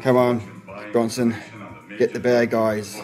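Clear music runs behind a man's voice. He speaks at a fairly slow pace with flat, monotone intonation. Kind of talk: casual vlog chat. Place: home room. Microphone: phone near.

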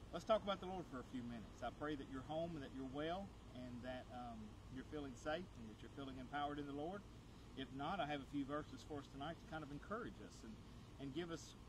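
Very rapid speech with ordinary pitch movement comes through a dry sound with no echo and noticeable background noise. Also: man. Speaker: pastor. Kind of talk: sermon. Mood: warm, encouraging. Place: garden.

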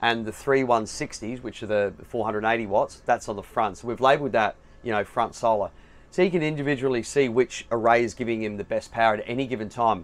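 The man's pitch varies by an ordinary amount. He talks fairly quickly. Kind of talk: product walkthrough explanation. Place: home room. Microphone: headset.

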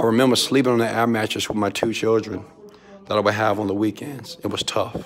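A man with an American accent talks at a fairly quick pace and a fairly low pitch over light background noise. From Houston, Texas. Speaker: entrepreneur and motivational mentor. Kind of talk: pep talk, motivational preaching. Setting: filming vlog video inside hotel suite in Dubai. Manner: animated, emphatic, call-and-response, loud. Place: home room. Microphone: phone near.

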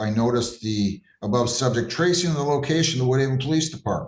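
A man talks at a fairly quick pace, his voice somewhat breathy. Audible room echo surrounds him. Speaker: judge in a court hearing. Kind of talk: courtroom remarks, partly reading a report. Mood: puzzled, skeptical. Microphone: video call.

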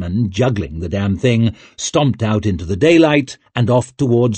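The reading aloud is plain, carried by lively intonation.

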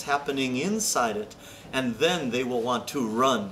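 Music can be heard behind the speaker. The delivery has lively intonation. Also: man. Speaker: pastor. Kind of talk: sermon. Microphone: camera far.

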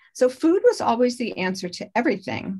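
Against a quiet background, a woman talks at a moderate pace. Her voice is somewhat breathy. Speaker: health coach. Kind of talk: presentation. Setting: video call. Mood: warm, personal storytelling. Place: home room. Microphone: video call.

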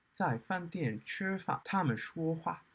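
A man's fairly high pitch, with very wide pitch swings. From Australia. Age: 20s. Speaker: language learner. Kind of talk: casual talk to camera, learner book reviews. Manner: slow. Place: home room. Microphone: webcam.

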